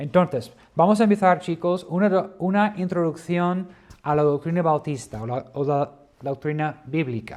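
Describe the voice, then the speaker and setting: A man at a high pitch with ordinary pitch variation and a fairly slow pace. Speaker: Bible teacher. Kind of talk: lecture. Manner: hesitant.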